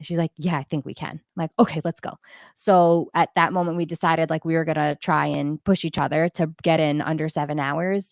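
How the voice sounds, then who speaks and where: A woman with a fairly low pitch talks loudly and at a fairly quick pace in an animated tone, in a very clean recording with a silent background and a dry, close sound without echo. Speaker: ultrarunner and teacher. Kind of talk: casual chat. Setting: livestream.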